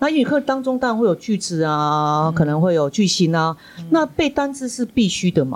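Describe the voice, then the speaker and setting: At a fairly quick pace, a woman speaks at a medium pitch. Her voice makes very wide pitch swings. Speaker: school principal and podcast host. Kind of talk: interview hosting.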